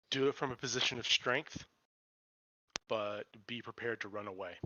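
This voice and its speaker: A man's raspy, put-on character voice at medium pitch and a fairly quick pace. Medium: actual play. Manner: measured, matter-of-fact.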